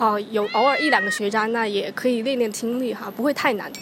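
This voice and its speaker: Over noticeable background noise, a woman with a Chinese accent and a fairly high pitch speaks at a moderate pace with ordinary pitch variation. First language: Mandarin Chinese. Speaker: podcast host. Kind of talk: casual chat.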